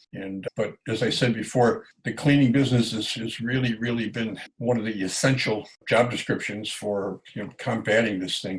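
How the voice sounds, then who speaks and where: A somewhat breathy man talks at a medium pitch and moderate pace. His intonation is fairly even, with hardly any pauses. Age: 70s. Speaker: janitorial business owner and coach. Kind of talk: casual business talk to camera.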